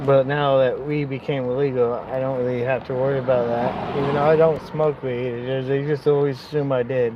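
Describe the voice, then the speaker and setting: A man with a medium-pitched voice speaks at a fairly quick pace in a flat monotone, with hardly any pauses and noticeable background noise. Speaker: vlogger. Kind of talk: casual vlog talk. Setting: in a car, pulled over.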